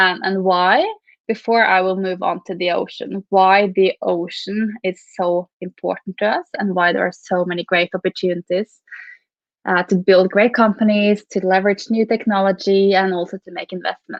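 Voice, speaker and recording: Speaking at a moderate pace, a woman with a Norwegian accent holds a medium pitch in a monotone, flat delivery. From Norway. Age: 30s. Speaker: venture capital investor. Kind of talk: keynote talk. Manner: halting, many repeats.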